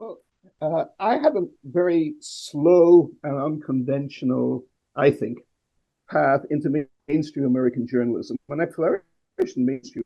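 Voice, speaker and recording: The speaker keeps a moderate pace with ordinary pitch variation. Long pauses come often. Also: man, fairly high pitch for a man. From Northern Ireland. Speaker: journalist. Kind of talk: conversational interview.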